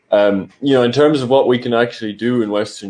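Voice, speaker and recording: With an Irish accent, a man talks at a very fast pace in a medium pitch, his tone dark and mellow. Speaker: political commentator, channel host. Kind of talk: casual political discussion. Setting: livestream.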